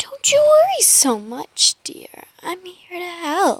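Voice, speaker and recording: A woman's put-on character voice at an extremely high pitch, very slow, with very wide pitch swings. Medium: read story. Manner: cheery, sinister.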